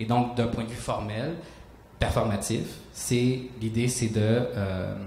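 At a fairly slow pace, the speaker has a slightly mellow tone and fairly even intonation, with audible room echo. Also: man, fairly low pitch for a man.

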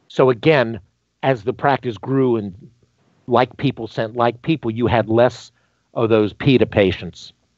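Over a quiet background, a man with an American accent speaks at a fairly slow pace with fairly even intonation and long, frequent pauses, the sound dry with no echo. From US South, North Carolina (Greensboro); North Carolina. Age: 50s. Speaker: dentist; podcast guest. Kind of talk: interview. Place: home room. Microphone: headset.

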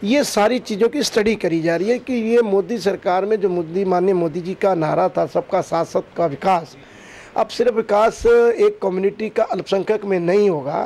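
At a fairly slow pace, a man talks in a high-pitched voice. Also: ordinary pitch variation. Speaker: interviewee. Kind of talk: interview answer. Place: home room. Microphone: handheld.

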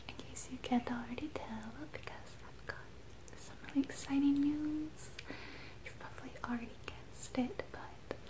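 Whispering at a moderate pace, a woman's voice shows big swings in loudness. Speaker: ASMR vlogger. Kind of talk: casual vlog chat, soft-spoken. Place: home room. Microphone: phone near.

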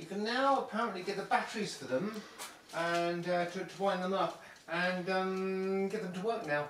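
Light background noise runs under the speech. The room echo is audible. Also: man. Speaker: bunker volunteer or guide. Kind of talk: casual conversation. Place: tunnel cave.

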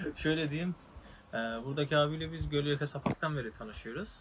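A man with a fairly high pitch and a fairly bright tone talks at a fairly quick pace, his pitch varying in an ordinary way.

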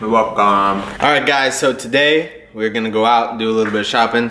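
A man talks at a fairly quick pace in a fairly low pitch, with fairly even intonation and a bright, sharp tone. Faint background noise sits behind him.

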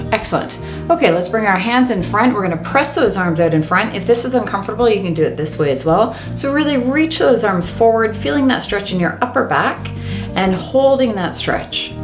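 A woman speaking at a fairly quick pace over clear music in the background. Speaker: fitness instructor. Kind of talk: exercise class instruction. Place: home room.

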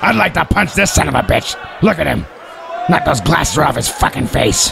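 Over clear background noise, a man talks at a fairly quick pace with very even loudness. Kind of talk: comic wrestling commentary. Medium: machinima. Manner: sarcastic, crude, blunt.

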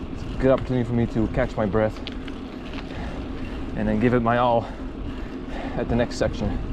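A man talking at a fairly quick clip, dry sound with no echo, noticeable background noise behind him. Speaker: mountain biker vlogger. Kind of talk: casual vlog commentary. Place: bicycle. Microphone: camera far.

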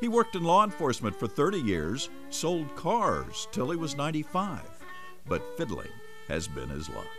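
A man talks at a moderate pace. Behind him, music plays. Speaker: TV reporter. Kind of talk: TV feature narration.

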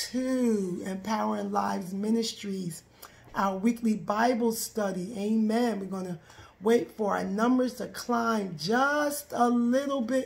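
A woman speaks at a very slow pace, her voice somewhat breathy and her pitch moving in an ordinary way. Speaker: minister leading Bible study. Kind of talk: live stream greeting, preaching style. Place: home room. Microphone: phone near.

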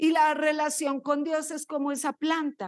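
Pitched high, a woman with a slight Colombian accent speaks in an animated tone at a fairly slow pace, the sound dry with no echo and the background quiet. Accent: slight Colombian lilt. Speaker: pastor. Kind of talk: sermon. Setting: church. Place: church. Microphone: handheld.

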